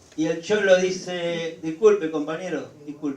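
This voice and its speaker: There is noticeable background noise and audible room echo. Through it, a man talks in a fairly high voice. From Argentina, rural Buenos Aires province. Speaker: union leader. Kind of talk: lecture.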